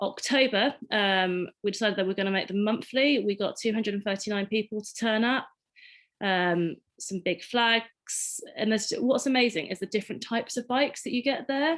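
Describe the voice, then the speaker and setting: A woman with an English accent speaks at a moderate pace in a fairly high voice with ordinary pitch variation. The recording is very clean, with a silent background. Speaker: community cycling ride organiser. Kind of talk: panel presentation. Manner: casual with frequent fillers.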